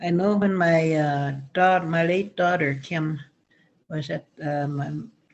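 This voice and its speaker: A woman with a Canadian accent speaks at a fairly slow pace, with fairly low pitch and fairly even intonation. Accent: Stoney Nakoda First Nations English. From Stoney Nakoda First Nation, Alberta, Canada. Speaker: elder and school counselor. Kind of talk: talking circle remarks. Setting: video call. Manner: halting.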